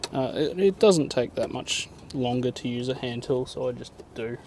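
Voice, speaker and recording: A soft-spoken man with an Australian accent, amid noticeable background noise. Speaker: mechanic. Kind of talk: tutorial.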